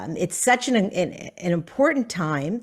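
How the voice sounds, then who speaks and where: In an ordinary speaking voice with an American accent, a woman talks at a moderate pace and medium pitch, her intonation lively, on a very clean recording with a silent background. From US South. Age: 60s. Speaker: author. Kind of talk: author talk.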